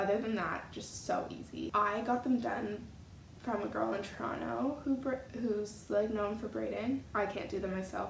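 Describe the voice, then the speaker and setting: A woman is speaking with audible room echo. Noticeable background noise is present. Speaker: beauty vlogger. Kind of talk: casual vlog talk.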